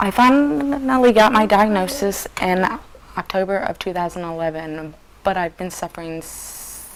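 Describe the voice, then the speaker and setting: A woman speaks at a moderate pace in a medium pitch, with big swings in loudness. Noticeable background noise runs under her voice. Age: 20s. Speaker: patient. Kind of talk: interview. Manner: halting.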